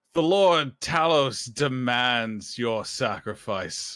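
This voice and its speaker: Shouting in a booming, put-on character voice at a medium pitch, a man drags his words out very slowly in a very clean recording with a silent background. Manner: booming, shouted.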